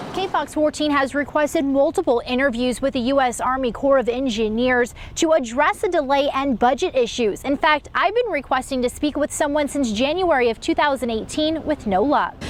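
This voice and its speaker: Against noticeable background noise, a woman with a high pitch talks at a fairly quick pace with very even loudness and hardly any pauses. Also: ordinary pitch variation. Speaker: TV news anchor and reporter. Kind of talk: TV news field report.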